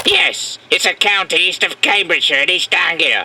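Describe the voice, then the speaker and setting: The pitch sits high. It is delivered in a put-on character voice. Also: moderate pace, lively intonation. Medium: comedy sketch.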